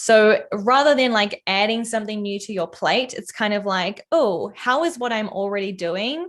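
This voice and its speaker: A woman with a New Zealand accent, medium pitch and ordinary pitch variation. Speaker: product designer and content creator. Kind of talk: casual interview chat. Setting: livestream. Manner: casual, frequent fillers.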